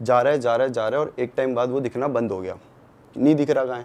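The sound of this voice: Fast and fairly even in intonation, this man's voice has a slightly mellow tone. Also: medium pitch for a man.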